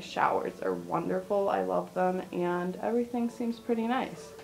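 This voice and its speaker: Light background noise sits beneath a woman speaking at a moderate pace. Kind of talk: casual vlog chat. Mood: pleased, positive. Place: bathroom. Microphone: phone near.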